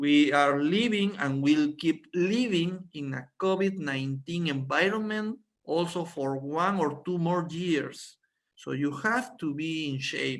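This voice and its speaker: Fairly slow in pace, a man speaks with a Spanish accent. His pitch is fairly high, with ordinary pitch variation. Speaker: doctor giving product training. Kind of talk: online presentation. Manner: halting.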